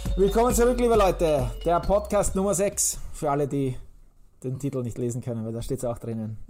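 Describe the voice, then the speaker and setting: A man's pitch swings very widely as he talks rather quickly. Music can be heard behind him. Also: fairly high pitch for a man. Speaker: podcast host. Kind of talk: casual chat. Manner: energetic.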